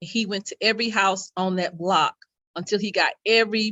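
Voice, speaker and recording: Using a normal speaking voice, a woman talks at a moderate pace with fairly even intonation. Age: 60s. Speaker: youth program leader. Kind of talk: panel discussion. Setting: community talk event, live stream.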